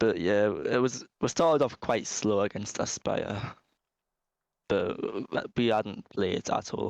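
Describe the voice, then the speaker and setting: Speaking in a Geordie accent at a fairly slow pace with long, frequent pauses, a man keeps his loudness very even in a dry, close sound with no echo. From Newcastle, northern England. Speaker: esports team captain. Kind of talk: post-match interview.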